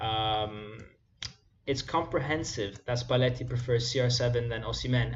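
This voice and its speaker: Somewhat breathy and medium in pitch, a man speaks with a monotone, flat intonation. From Italy. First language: Italian. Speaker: football YouTuber. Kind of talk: live stream chat. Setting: live stream. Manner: casual, conversational. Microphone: possible mic or volume problem.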